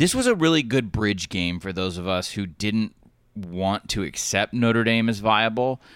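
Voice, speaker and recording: In an ordinary speaking voice, a man with an American accent and a fairly low pitch talks at a moderate pace with ordinary pitch variation, on a very clean recording with a silent background. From US South. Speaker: college football writer. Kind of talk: casual chat.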